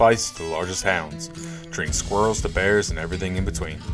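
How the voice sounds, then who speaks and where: A man with a very deep, low pitch speaks at a moderate pace as music plays in the background. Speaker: podcast host. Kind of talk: podcast intro.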